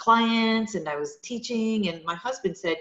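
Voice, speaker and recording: A woman talks at a moderate pace in a French Canadian accent. Her voice is fairly high, with ordinary pitch variation. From Quebec, French Canada. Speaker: yoga studio owner. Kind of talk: interview. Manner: halting, many fillers.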